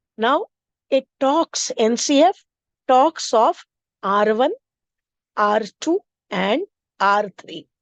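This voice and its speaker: A woman with a high pitch speaks in an Indian accent at a very slow pace, with long, frequent pauses. Her pitch swings very widely, and the sound is dry and close with no echo. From India, Maharashtra. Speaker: teacher trainer, English teacher. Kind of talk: teacher training lecture. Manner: explanatory, with frequent fillers.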